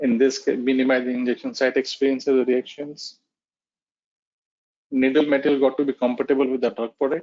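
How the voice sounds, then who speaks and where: At a fairly quick pace but with long, frequent pauses, a man speaks in a medium pitch with monotone, flat intonation. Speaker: technical presenter on pharmaceutical packaging. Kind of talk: webinar presentation. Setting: online webinar.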